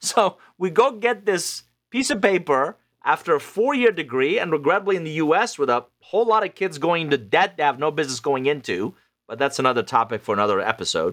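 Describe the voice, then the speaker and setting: A man with a fairly high pitch and vocal fry talks at a fairly quick pace, his pitch swinging very widely. The recording is very clean, with a silent background. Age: 50s. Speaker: author and business consultant. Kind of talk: interview.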